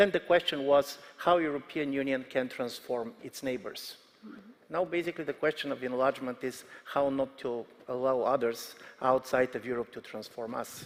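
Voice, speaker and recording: With a Bulgarian accent, a man speaks at a moderate pace with big swings in loudness. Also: medium pitch for a man, ordinary pitch variation. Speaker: political analyst. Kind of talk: panel discussion.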